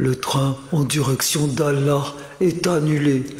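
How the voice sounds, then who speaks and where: Using a put-on character voice, a man speaks fairly slowly in a fairly high pitch, with clear echo and clear background noise. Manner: mock-solemn announcement.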